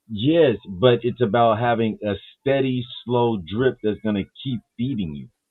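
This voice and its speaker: Ordinary pitch variation and a fairly slow pace in an unremarkable speaking voice. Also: man, medium pitch for a man. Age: 50s. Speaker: live panel show host. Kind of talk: casual chat.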